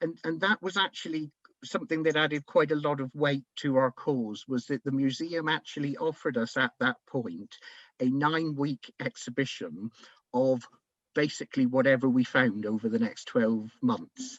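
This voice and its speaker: Someone with a Devon accent talks at a moderate pace with lively intonation, in a dry, close sound with no echo. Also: man, fairly high pitch for a man. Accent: Plymouth, Devon. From England, Plymouth. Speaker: community heritage project organiser. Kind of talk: webinar presentation. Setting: online webinar. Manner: conversational, with fillers.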